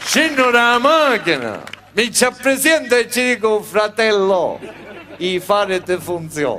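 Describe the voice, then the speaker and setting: Over noticeable background noise, a man with a high pitch projects a raised voice at a very slow pace. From Sicily. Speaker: comedian. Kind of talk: cabaret comedy monologue.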